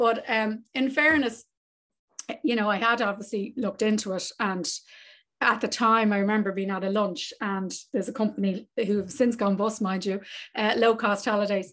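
In an Irish accent, a woman with a fairly high voice speaks at a moderate pace and with fairly even intonation, the background quiet. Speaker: travel business owner. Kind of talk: casual interview.

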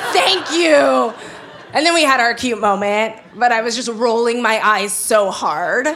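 A woman with an American accent, fairly high in pitch with very wide pitch swings, at a fairly slow pace amid noticeable background noise. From Los Angeles. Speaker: photographer and writer. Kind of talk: live storytelling. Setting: stage with live audience. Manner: casual, animated.

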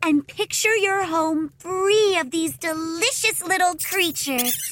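Noticeable background noise sits behind a woman with an extremely high pitch. She speaks at a fairly slow pace with lively intonation. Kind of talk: horror-comedy audio drama.

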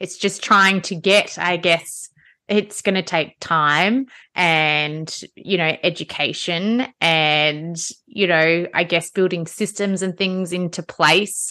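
A woman speaks very slowly with an Australian accent, her pitch fairly low and her intonation fairly even. Her tone is bright and sharp against a quiet background. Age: 40s. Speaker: podcast host and fitness studio owner. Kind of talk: casual interview.

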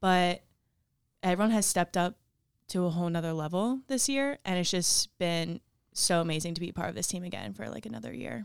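A woman with a fairly low pitch, a normal speaking voice and lively intonation talks at a fairly quick pace on a very clean recording with a silent background. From New Jersey, Ocean City. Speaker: college field hockey player. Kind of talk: casual interview.

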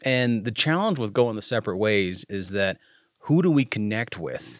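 With an American accent and a normal speaking voice, a man talks fairly quickly at medium pitch with lively intonation, recorded dry and close with no echo. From Uintah Basin, Utah. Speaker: army officer and veterans group founder. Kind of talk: podcast interview.

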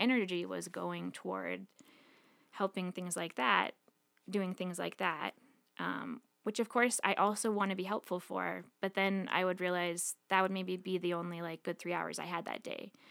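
In a normal speaking voice, a woman with an American accent talks at a moderate pace and medium pitch, with fairly even intonation, on a very clean recording with a silent background. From Montana, US. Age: 30s. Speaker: podcast guest sharing life story. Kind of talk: personal testimony.

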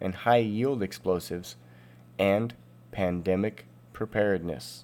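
Here is a man with an ordinary speaking voice and a fairly low pitch. He goes at a fairly slow pace with lively intonation. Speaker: podcast host. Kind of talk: scripted narration.

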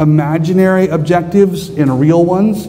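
A high-pitched man with an American accent speaks amid noticeable background noise and audible room echo. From US West, southern Idaho. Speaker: conference speaker, pastor-theologian. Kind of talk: conference talk.

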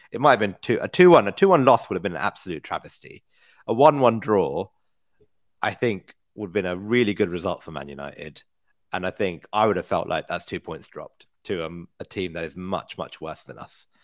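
A man's normal speaking voice, fairly low-pitched, with lively intonation, big swings in loudness and a fairly quick pace, in a dry, close sound with no echo and a very clean recording with a silent background. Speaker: football podcast co-host.

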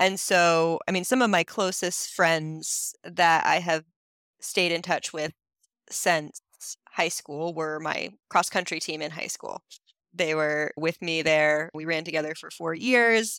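Speaking at a very slow pace, a woman with a bright, sharp tone and fairly low pitch keeps a fairly even intonation while her loudness swings widely, in a very clean, dry, close recording with a silent background and no echo. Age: 30s. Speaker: education coach and runner. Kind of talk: interview. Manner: casual with fillers.

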